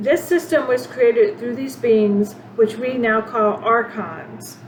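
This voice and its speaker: Over noticeable background noise, a woman speaks fairly slowly at a fairly high pitch with ordinary pitch variation. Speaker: spiritual channel host. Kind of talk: spiritual monologue. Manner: halting, many fillers and restarts.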